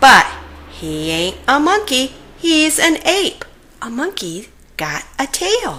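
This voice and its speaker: Using a put-on character voice, a woman speaks high and at a very slow pace, with very wide pitch swings and long, frequent pauses. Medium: read story. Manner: gruff, blunt.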